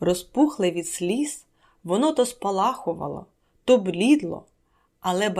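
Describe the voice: The plain reading aloud has lively intonation, set against a quiet background.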